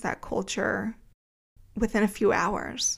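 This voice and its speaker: Speaking very slowly with vocal fry, a woman with an American accent has a medium pitch, recorded very cleanly against a silent background. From New Jersey, greater Philadelphia area. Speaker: podcast host, author, copy editor and book coach. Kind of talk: solo podcast monologue, personal storytelling.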